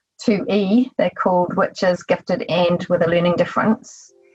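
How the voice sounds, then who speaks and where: In a New Zealand accent, a woman with a medium-pitched, somewhat breathy voice talks at a moderate pace with fairly even intonation. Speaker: psychotherapist. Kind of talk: interview.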